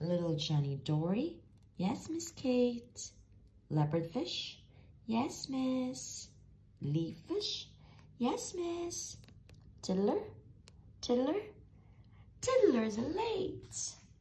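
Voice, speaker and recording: A put-on character voice at a fairly high pitch, very slow pace and long, frequent pauses. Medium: read story.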